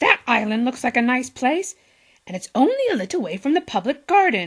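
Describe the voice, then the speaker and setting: A woman speaks at a fairly quick pace in a put-on character voice, pitched high with very wide pitch swings. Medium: read story. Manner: polite, quacking.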